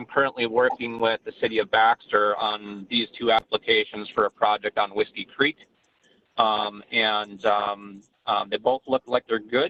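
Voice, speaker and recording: A man with an unremarkable speaking voice talks at a medium pitch and a moderate pace, his intonation fairly even. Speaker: stormwater engineering consultant. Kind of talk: presentation to city council. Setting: video teleconference. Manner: many filler ums.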